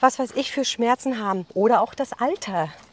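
A woman talks at a fairly high pitch. Her intonation is lively. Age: 50s. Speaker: businesswoman. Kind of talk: interview. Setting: outdoors, walking in a forest. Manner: fast.

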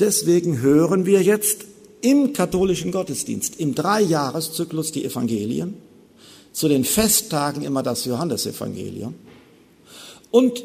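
Very wide pitch swings in a man's fairly high voice, with audible room echo. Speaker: theologian giving a lecture on Luther. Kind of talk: lecture. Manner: formal.

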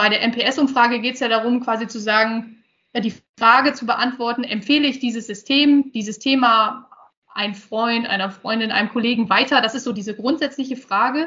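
Moderate pace with fairly even intonation. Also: woman, fairly high pitch for a woman. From northern Germany, Osnabrück region. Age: 30s. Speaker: IT project manager. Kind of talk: interview. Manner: hesitant, many fillers.

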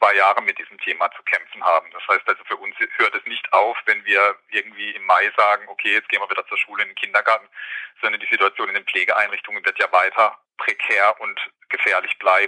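A man at a fairly quick pace, with a dry, close sound and no echo. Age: 40s. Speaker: nurse and care home manager. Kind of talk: interview.

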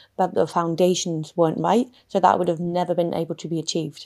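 A woman's fairly low voice keeps to a moderate pace. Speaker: footballer and podcast host. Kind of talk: casual interview conversation.

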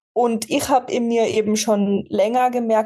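A woman's dark, mellow tone at a fairly high pitch. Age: 20s. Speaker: fitness athlete and coach. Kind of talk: casual interview conversation.

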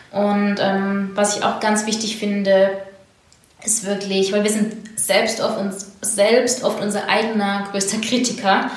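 A woman at medium pitch speaks very slowly in a monotone with flat intonation, with audible room echo and noticeable background noise. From southwestern Germany, near Heilbronn. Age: 30s. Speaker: entrepreneur. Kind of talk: interview.

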